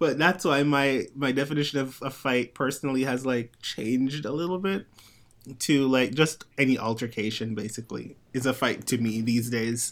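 This soft-spoken man has a medium pitch and ordinary pitch variation. He talks at a moderate pace. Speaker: podcast host. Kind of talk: casual chat. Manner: soft-spoken in real life; projects more on the show.

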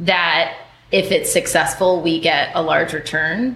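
This is an ordinary speaking voice. A woman speaks at a fairly low pitch and a moderate pace. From US, moved around; high school in Minnesota. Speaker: venture capitalist. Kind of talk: group interview.

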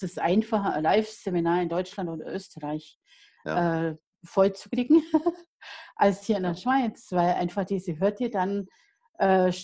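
A woman has an unremarkable speaking voice at a medium pitch and moderate pace. The recording is very clean, with a silent background. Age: 50s. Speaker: life coach and author. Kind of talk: interview. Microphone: unstable internet connection.

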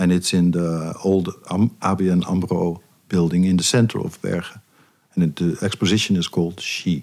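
The speaker keeps a monotone, flat intonation at a moderate pace. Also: man, very deep, low pitch for a man. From eastern Netherlands. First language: Dutch. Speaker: jazz bassist and pianist. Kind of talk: interview. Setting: studio. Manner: halting.

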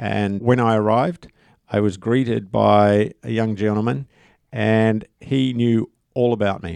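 A man with a New Zealand accent speaks in a fairly low pitch with ordinary pitch variation, the sound dry and close with no echo and the background quiet. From New Zealand (rural Waikato). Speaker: tourism professor and association chairman. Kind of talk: interview. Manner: halting.

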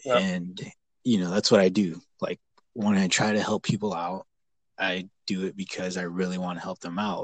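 Very deep and low, a man's voice comes through in an American accent with monotone, flat intonation and a dry, close sound with no echo. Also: moderate pace. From California, Bakersfield. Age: 20s. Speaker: HVAC technician. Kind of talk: casual chat. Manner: halting.

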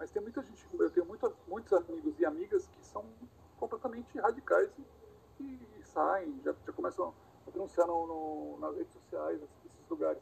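The loudness shifts in big swings. A man delivers the words at a moderate pace. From Brazil, Santos (São Paulo state), also lived in Rio and Bahia. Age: 40s. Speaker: wheelchair user with spinal cord injury, former cameraman. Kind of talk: interview. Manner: casual, hesitant with repetitions.

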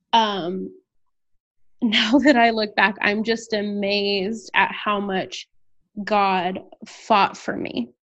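A woman speaks very slowly in an American accent. Her pitch is medium, with ordinary variation. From Texas, San Antonio. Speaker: worship leader and nonprofit founder. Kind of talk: interview.

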